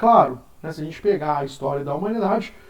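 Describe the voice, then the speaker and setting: A man with lively intonation at a fairly quick pace, with audible room echo. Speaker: philosophy teacher. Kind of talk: lecture. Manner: casual.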